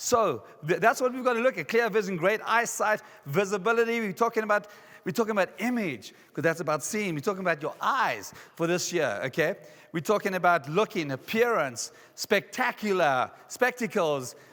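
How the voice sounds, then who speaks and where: A man with a South African accent speaks at a moderate pace in a high, bright, sharp voice. His tone is animated and his intonation lively. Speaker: motivational speaker. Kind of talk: conference keynote. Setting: stage with audience.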